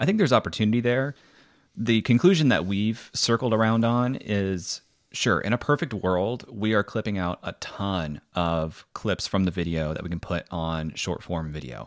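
A man's unremarkable speaking voice, fairly low in pitch, with lively intonation at a moderate pace over a quiet background. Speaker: podcaster debating for video. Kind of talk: debate, arguing a position.

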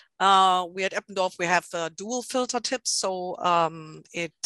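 A woman with a German accent at a medium pitch, fairly even intonation, a quiet background and a dry, close sound with no echo. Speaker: product marketing manager and scientist. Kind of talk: webinar presentation. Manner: halting, many fillers.

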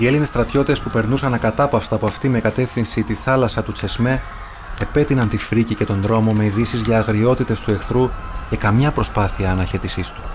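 A man at medium pitch, fairly quick pace and fairly even intonation, with noticeable background noise. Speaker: actor narrating audiobook. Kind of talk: literary audiobook reading, solemn historical narration of the burning of Smyrna. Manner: clear, steady, actor-trained delivery.

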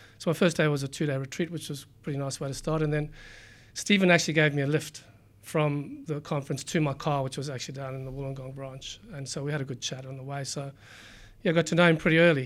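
A man at a very fast pace with fairly even intonation, on a very clean recording with a silent background. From South Africa. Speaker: company CEO. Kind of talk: interview. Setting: studio, in person. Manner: halting, with repeated words.

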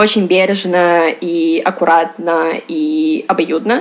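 Lively intonation marks this woman's speech. She uses an ordinary speaking voice at a medium pitch. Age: 20s. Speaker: abuse survivor, education startup manager. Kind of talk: personal testimony interview.

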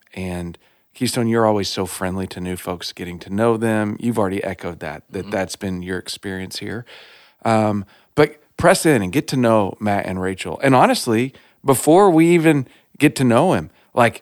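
With an American accent, a man talks at a moderate pace in a fairly low voice, his intonation lively and his loudness swinging widely, in a dry, close recording with no echo, very clean against a silent background. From Texas. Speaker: lead pastor, podcast host. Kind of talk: casual interview. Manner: warm, enthusiastic.

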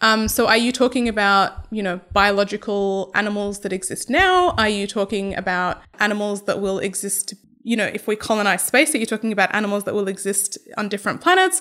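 Speaking with an Australian accent, a woman keeps a fairly quick pace with hardly any pauses. Her medium-pitched voice is bright and sharp, with fairly even intonation. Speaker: animal welfare researcher. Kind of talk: interview.

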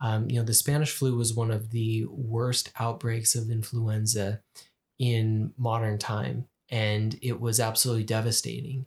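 With an American accent, a man speaks at a fairly slow pace in a medium pitch, somewhat breathy, with monotone, flat intonation and very even loudness. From Utah. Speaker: podcast co-host. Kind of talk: casual chat.

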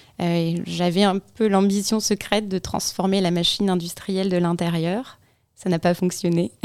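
A woman's fairly low voice, monotone and flat in intonation, at a moderate pace. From Provence, southern France. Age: 30s. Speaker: podcaster. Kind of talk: radio interview.

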